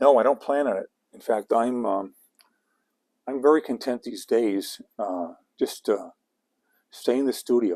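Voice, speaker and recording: Dry and close with no echo, a man's dark, mellow voice sits at medium pitch with ordinary pitch variation, moving at a fairly slow pace with long, frequent pauses and big swings in loudness. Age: 60s. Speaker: comic artist and illustrator. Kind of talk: livestream painting demo with Q&A. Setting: home studio livestream. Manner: halting, many fillers and repetitions.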